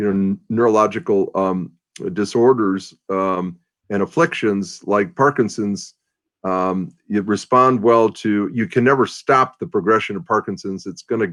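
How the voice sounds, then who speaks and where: A man's fairly low-pitched voice at a fairly slow pace, with ordinary pitch variation. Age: 60s. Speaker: ministry leader and Bible teacher. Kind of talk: interview. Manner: hesitant, many um fillers.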